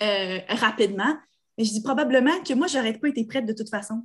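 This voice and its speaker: A woman's fairly high, somewhat breathy voice in a Quebec accent. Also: quiet background. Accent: Québécois French. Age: 30s. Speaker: podcast co-host. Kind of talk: casual chat.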